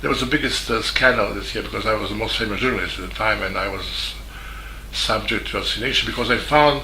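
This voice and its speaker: A man talks at a very fast pace. Audible room echo and noticeable background noise are present. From Serbia, Belgrade. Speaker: journalist. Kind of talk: video statement. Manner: halting.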